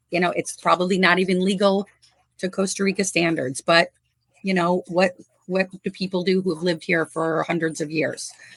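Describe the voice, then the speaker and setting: A woman with an American accent speaks at a moderate pace in an unremarkable speaking voice, her pitch medium and her intonation fairly even. The sound is dry and close, with no echo. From US Midwest, northwest Indiana. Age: 50s. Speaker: animal rescuer. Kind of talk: casual interview.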